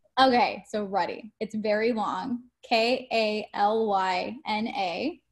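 With an American accent, a woman with an ordinary speaking voice talks at a fairly high pitch and fairly even intonation, in a very clean recording with a silent background. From California, Modesto. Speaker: TV news anchor. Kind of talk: interview.

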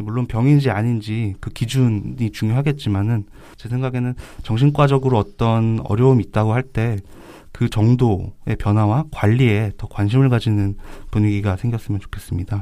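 In a very clean recording with a silent background, a man talks at a moderate pace in a dark, mellow tone, his medium pitch held to fairly even intonation. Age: young. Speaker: psychiatrist co-host. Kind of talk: casual chat.

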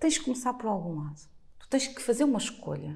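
A woman's fairly high voice has a dark, mellow tone, vocal fry, and very wide pitch swings. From Portugal. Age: 40s. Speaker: blogger. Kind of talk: casual interview.

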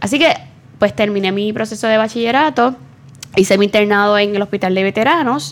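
A woman with a Puerto Rican accent speaks at a moderate pace. Her pitch is medium, with ordinary pitch variation. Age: 30s. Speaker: nutritionist and psychologist. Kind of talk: interview.

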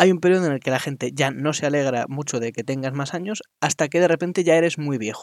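A man with a fairly high voice talks at a very fast pace, barely pausing, his pitch varying in an ordinary way. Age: 20s. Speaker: podcaster. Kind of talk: solo monologue. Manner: halting.

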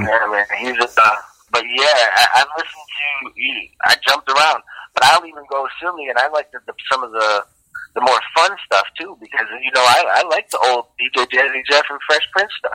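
In an unremarkable speaking voice, a man with an American accent speaks at a moderate pace and fairly high pitch, with ordinary pitch variation. The sound is dry and close, with no echo. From Detroit, US. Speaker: record label owner and sound engineer. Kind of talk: interview.

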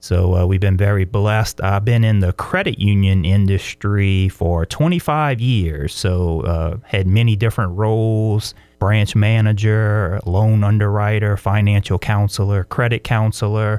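With a South Louisiana accent, a man speaks at a fairly slow pace and a fairly low pitch, with hardly any pauses. His intonation is fairly even, his loudness very even, and the recording very clean with a silent background. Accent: South Louisiana US Southern. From South Louisiana, La Place. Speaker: pastor and author. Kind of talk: interview.

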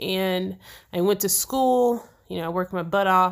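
A woman speaks in an ordinary speaking voice at medium pitch with fairly even intonation. The recording is very clean, with a silent background. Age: 30s. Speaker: podcast co-host, software developer and veteran. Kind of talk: casual chat.

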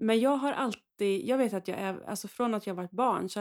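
At a fairly quick pace, a woman talks in a normal speaking voice with ordinary pitch variation. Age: 40s. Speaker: priest. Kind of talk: casual chat.

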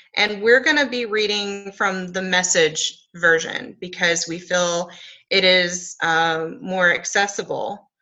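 In an unremarkable speaking voice, a woman talks fairly slowly at a medium pitch with lively intonation. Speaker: podcast co-host. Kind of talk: podcast conversation with scripture reading.

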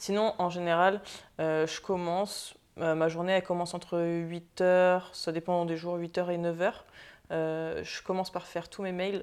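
A woman speaks in a fairly low, monotone voice with flat intonation. Her pace is very slow, on a very clean recording with a silent background. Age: 20s. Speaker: entrepreneur and social media influencer. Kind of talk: interview. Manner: hesitant, many fillers.

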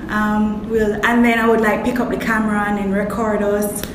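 A woman speaks at a moderate pace with a fairly high pitch. The room echoes audibly, and background noise is noticeable. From Kingston, Jamaica. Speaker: actress and makeup artist. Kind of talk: interview.

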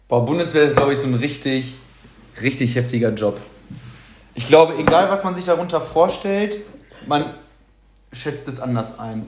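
Over noticeable background noise and audible room echo, a man with a fairly high voice speaks in an animated tone with lively intonation at a moderate pace, pausing long and often. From Germany, born to Polish family. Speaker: podcast co-host. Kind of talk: casual chat.

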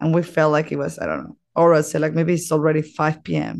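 A woman with a very deep, low pitch and vocal fry talks at a fairly quick pace. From Mexico. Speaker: podcast host. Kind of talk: casual monologue.

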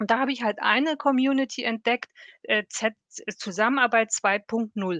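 A woman speaks at a fairly slow pace with a fairly high pitch and ordinary pitch variation. The sound is dry and close with no echo, over a quiet background. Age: 50s. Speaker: corporate employee in a self-learning network. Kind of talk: interview. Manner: animated.

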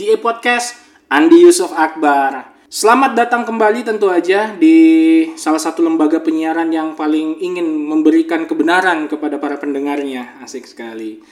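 With very wide pitch swings and hardly any pauses, a man talks at a moderate pace against noticeable background noise. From Makassar, South Sulawesi, Indonesia. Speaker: podcast host. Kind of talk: casual podcast chat; monologue on current affairs. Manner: animated.

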